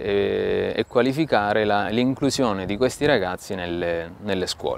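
Male speaker at a fairly slow pace, dry sound with no echo, light background noise. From Italy. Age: 40s. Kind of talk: talk to camera about mission work. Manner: halting, with frequent fillers and repetitions. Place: garden. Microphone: lapel.

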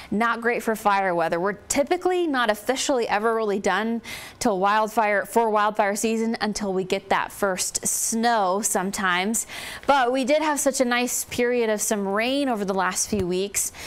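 With ordinary pitch variation, a woman talks at a moderate pace. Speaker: TV weather forecaster. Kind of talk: TV weather report. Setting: TV studio. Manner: conversational; informative. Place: studio.

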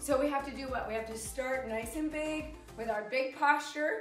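Against clear music in the background and audible room echo, a woman speaks at a high pitch and a moderate pace. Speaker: exercise instructor. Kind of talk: workout class instruction. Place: empty room.

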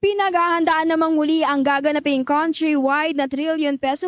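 The voice is a woman's, high in pitch. The sound is dry and close with no echo. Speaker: radio news reporter. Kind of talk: news reading. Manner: formal.

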